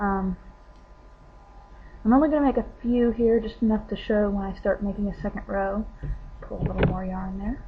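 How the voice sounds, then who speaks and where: A woman's medium-pitched voice with long, frequent pauses over noticeable background noise. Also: moderate pace. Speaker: crafter demonstrating crochet. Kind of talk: tutorial. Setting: home webcam recording. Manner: casual, with hesitations.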